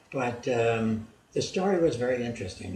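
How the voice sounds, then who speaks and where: A man speaks at a moderate pace, his voice carrying audible room echo. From Germany. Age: 80s+. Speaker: video blogger. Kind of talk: storytelling. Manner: halting.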